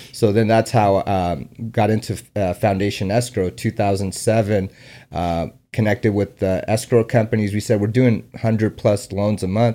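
With a Californian accent, a man speaks at a moderate pace in a fairly low pitch with fairly even intonation. His tone is dark and mellow, and the recording is very clean with a silent background. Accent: Californian American English. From San Diego, California. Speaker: escrow company founder and investor. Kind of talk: casual interview.

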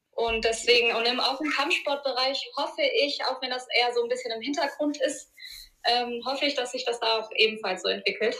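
A woman uses a raised, projected voice at a high pitch. She talks at a fairly quick pace with fairly even intonation. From Germany, Ruhr area (Duisburg). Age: 30s. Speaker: martial arts school owner. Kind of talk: interview.

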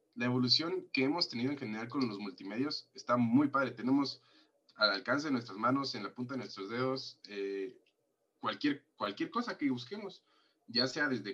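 A man's bright, sharp voice moves at a moderate pace. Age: 20s. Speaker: podcast co-host. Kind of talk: casual chat.

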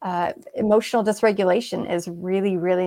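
Medium pitch from a woman with a West Coast accent, a fairly quick pace and a quiet background. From Seattle, Washington, US. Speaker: brain injury survivor and author, former equine massage therapist. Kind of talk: interview conversation.

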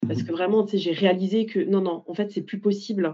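Her pitch is medium and her intonation fairly even. The woman speaks at a fairly quick pace. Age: 30s. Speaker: life coach, former logistics worker. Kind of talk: interview testimony. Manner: hesitant, many fillers.

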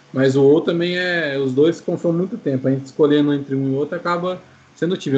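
A man with a plain, everyday voice talks at a fairly quick pace. His pitch is fairly high and his intonation fairly even. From Brazil, Maringá, Paraná. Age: 20s. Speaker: game streamer. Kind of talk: casual chat.

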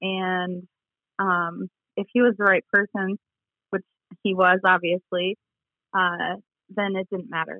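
With an American accent, a woman speaks at a medium pitch and a fairly slow pace. Her intonation is monotone and flat, broken by long, frequent pauses. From central Michigan, US. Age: 30s. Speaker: guest's wife. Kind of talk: casual interview. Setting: phone or remote call.

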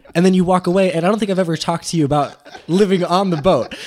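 Amid noticeable background noise, a man with an American accent speaks very fast in a high pitch. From Mexico, raised on a sailboat (American family). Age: 20s. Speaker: podcast guest. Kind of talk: casual chat. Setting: cafe over breakfast.

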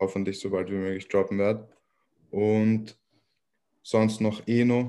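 With long, frequent pauses, a man talks at a very slow pace in a fairly low, dark, mellow voice with monotone, flat intonation, on a very clean recording with a silent background. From Austria, Vienna. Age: 20s. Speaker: rapper. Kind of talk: casual interview.

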